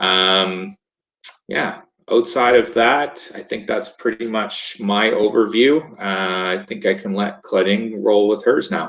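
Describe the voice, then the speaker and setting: A man with a Maritimes accent talks in a fairly low voice. His pace is very slow and his intonation fairly even. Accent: Canadian English (Maritimes). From Nova Scotia, Canada. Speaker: lifesaving sport coach. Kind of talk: webinar presentation. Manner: casual, hesitant with fillers.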